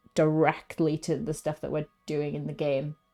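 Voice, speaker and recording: The tone is dark and mellow, delivered at a moderate pace. The recording is very clean, with a silent background. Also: woman. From Wales. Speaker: video game streamer. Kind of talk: casual gaming stream chat. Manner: animated; halting, many fillers.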